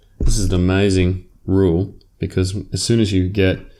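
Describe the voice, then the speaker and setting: With an Australian accent, a man speaks in a very deep, low pitch and a dark, mellow tone. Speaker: maths teacher. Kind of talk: lecture. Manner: casual, with fillers.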